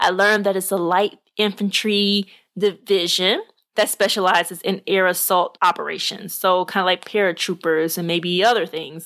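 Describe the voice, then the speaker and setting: On a very clean recording with a silent background, a woman with an American accent speaks at a moderate pace and a medium pitch, her intonation monotone and flat. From Arkansas, US South. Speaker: podcast host. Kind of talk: casual monologue.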